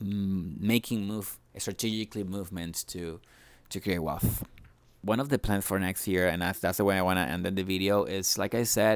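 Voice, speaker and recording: A man with a Spanish accent speaks in a very deep, low pitch and fairly even intonation. The recording is very clean, with a silent background. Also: moderate pace. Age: 30s. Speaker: vlogger. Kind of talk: personal vlog monologue. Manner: halting, many repetitions and fillers.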